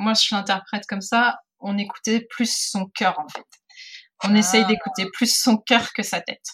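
The speaker moves at a fairly slow pace. Pitch shifts in an ordinary way. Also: woman. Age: 40s. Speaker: photographer. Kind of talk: interview. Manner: halting.

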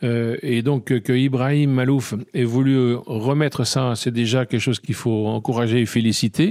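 A man's medium-pitched voice with a dark, mellow tone and fairly even intonation, at a moderate pace, on a very clean recording with a silent background. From France, Burgundy (near Dijon). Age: 60s. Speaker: trumpeter and composer. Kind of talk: interview. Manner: halting.

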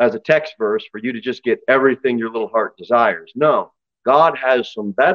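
Everything around the voice stays quiet. What we hear is a natural reading voice.

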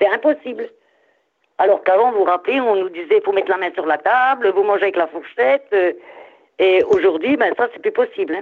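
Lively intonation from a woman at a fairly quick pace, broken by long, frequent pauses. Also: medium pitch for a woman. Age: 60s. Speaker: caller, grandmother. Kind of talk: casual chat. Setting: phone call.

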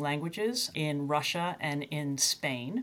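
A woman speaks at a fairly slow pace in a plain, everyday voice, with ordinary pitch variation. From US, Tennessee; born in UK, moved at 3. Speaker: university chief data officer. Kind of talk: interview.

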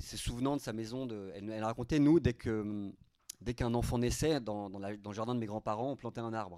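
A man's fairly quick speech in a dark, mellow tone, medium in pitch with ordinary pitch variation. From Paris suburbs, France. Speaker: novelist. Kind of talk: author talk at a library. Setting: library event with audience. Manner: halting, many repetitions.

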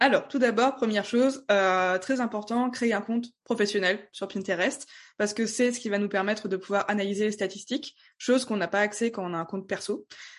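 Over a quiet background, a woman with an unremarkable speaking voice talks at a fairly quick pace, her fairly high pitch held in fairly even intonation. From France, Strasbourg (Alsace). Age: 20s. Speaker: Pinterest marketing trainer. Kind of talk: podcast interview.

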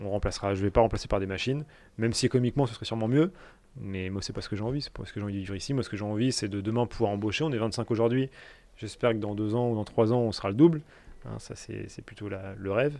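A man with a dark, mellow tone and fairly low pitch talks at a very fast pace, with big swings in loudness. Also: ordinary pitch variation. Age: 20s. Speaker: business owner. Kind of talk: interview. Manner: halting.

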